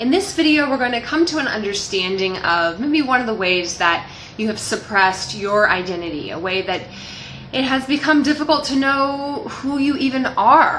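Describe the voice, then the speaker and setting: A loud, high-pitched woman's voice with very wide pitch swings and a moderate pace, plus audible room echo and noticeable background noise. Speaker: life coach. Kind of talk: motivational talk to camera. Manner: loud, expressive.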